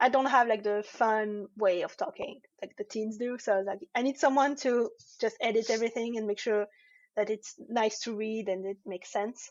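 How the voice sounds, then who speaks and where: A woman talks with a French accent. Her pitch sits fairly high. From France. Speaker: comic artist. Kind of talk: interview. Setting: live online show. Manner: halting.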